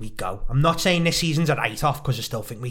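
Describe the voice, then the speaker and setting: A man speaks in a Liverpool accent. His pace is very fast. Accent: Scouse. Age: 20s. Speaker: podcast co-host. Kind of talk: casual chat. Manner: animated.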